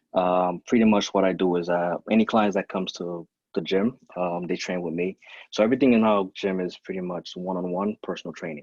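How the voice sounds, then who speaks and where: Very deep and low, a man's voice with a Caribbean accent moves at a fairly quick pace over a quiet background, with dry, close sound and no echo. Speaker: fitness trainer and gym owner. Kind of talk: podcast interview.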